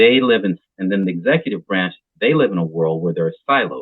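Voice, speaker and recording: Using an ordinary speaking voice with an American accent, a man talks at a fairly quick pace, his fairly low pitch moving in lively intonation. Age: 60s. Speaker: association president. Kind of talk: interview. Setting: podcast.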